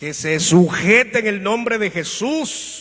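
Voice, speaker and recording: Very slowly and with lively intonation, a man speaks in a raised, projected voice amid audible room echo. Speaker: pastor. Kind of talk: sermon.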